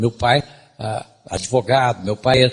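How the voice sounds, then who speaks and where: This man talks at a very slow pace. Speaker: lecturer. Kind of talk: lecture.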